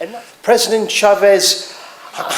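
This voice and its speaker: Over noticeable background noise, a man with a northeast English accent talks at a moderate pace. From northeast England. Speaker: political speaker. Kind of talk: rally speech.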